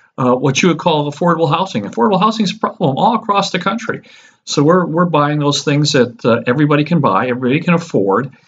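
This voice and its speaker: The speaker goes at a very fast pace with lively intonation, very even loudness, and a somewhat breathy quality. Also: man, fairly high pitch for a man. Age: 60s. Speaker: real estate investment advisor. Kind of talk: casual investment talk to camera. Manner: halting, many fillers.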